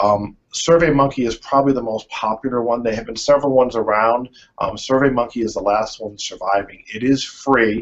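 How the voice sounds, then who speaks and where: Medium pitch from a man, varied in an ordinary way. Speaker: user research consultant. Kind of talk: presentation. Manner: fast.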